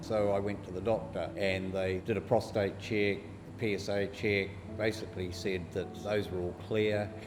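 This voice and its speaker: Moving at a moderate pace, the speaker talks with a New Zealand accent in a monotone, flat intonation. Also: man, fairly low pitch for a man. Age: 50s. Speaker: bowel cancer survivor. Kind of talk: interview answer. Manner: casual.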